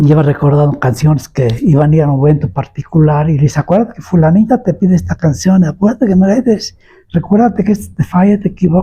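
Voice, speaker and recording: With a central Mexican accent, a man talks in a dark, mellow tone with lively intonation and hardly any pauses. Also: fairly high pitch for a man, fairly quick pace. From Puebla, Mexico. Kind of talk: oral history interview answer. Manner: storytelling, nostalgic.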